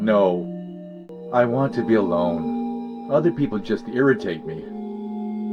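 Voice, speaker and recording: A put-on, robotic character voice moves at a fairly slow pace. Clear music plays in the background. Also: man. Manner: withdrawn.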